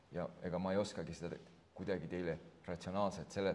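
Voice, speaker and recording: A man is speaking. His pitch is very deep and low. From Estonia, Võru County. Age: 50s. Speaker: author and politician. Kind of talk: book launch conversation.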